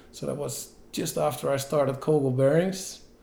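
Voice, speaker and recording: This man has a Dutch accent and a medium pitch, with a dark, mellow tone. His intonation is fairly even and his pace moderate. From Netherlands. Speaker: entrepreneur, bicycle parts company founder. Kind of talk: interview.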